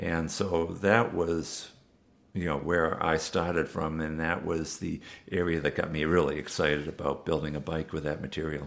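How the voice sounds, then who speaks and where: Flat, monotone intonation with a New England accent. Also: man, very deep, low pitch for a man, moderate pace. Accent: New England American. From Massachusetts, US. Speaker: bike designer and manufacturer. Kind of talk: interview. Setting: bike shop in London.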